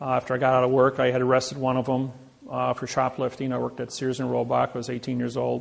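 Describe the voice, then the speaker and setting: A man with a Midwestern American accent at a very fast pace, with noticeable background noise. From Indiana. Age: 60s. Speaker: seminar speaker. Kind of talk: lecture.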